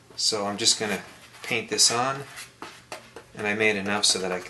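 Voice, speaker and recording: Over noticeable background noise, a man mumbles at a moderate pace with ordinary pitch variation. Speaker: RC model airplane builder. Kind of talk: tutorial. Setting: home basement workshop. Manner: mumbling a little; casual, conversational.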